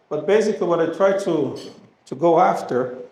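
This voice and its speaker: Over audible room echo, the speaker talks at a moderate pace with a Brazilian Portuguese accent. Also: man. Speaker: animal health company representative. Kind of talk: presentation to audience.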